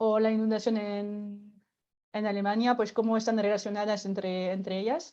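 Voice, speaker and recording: Against a quiet background, a woman with a fairly high pitch and a dark, mellow tone talks at a moderate pace in a monotone, flat way. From France. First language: French (speaking Spanish). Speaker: workshop facilitator. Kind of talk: explanatory talk. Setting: online event.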